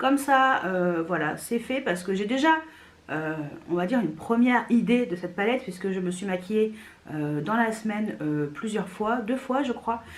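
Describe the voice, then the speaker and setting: A woman's voice swings very widely in pitch over noticeable background noise. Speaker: beauty youtuber. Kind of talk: product review. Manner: not very loud; casual, many hesitations.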